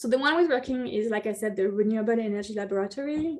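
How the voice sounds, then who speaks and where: Fairly quick speech in a French accent with ordinary pitch variation. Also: woman. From France. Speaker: city energy planner. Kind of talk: presentation. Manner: halting.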